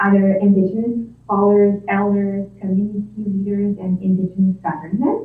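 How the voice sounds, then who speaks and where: A woman speaks in a strong Quebec accent at a fairly slow pace. Audible room echo surrounds her voice. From Quebec, near Quebec City. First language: French. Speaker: nursing instructor and health researcher. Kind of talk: presentation to town council. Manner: hesitant, many fillers.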